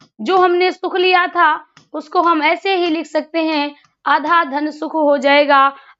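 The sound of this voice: The speaker has a bright, sharp tone, a fairly slow pace and little pitch movement. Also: woman, high pitch for a woman.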